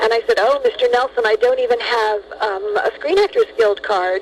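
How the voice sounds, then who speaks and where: There is noticeable noise behind this woman, who talks at a moderate speed. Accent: American. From Los Angeles, California. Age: 60s. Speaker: actress. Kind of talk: interview.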